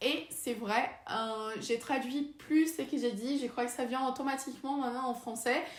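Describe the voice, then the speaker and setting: The speaker goes at a fairly slow pace with hardly any pauses and fairly even intonation. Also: woman, high pitch for a woman. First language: Portuguese (speaking French). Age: 20s. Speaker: vlogger and researcher. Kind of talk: casual vlog talk. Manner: halting, many hesitations.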